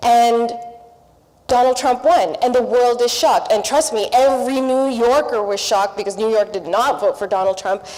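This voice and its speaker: A woman speaks in a high voice at a moderate pace, with ordinary pitch variation. Noticeable background noise is present. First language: not English. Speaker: panelist, public broadcaster journalist. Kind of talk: panel discussion.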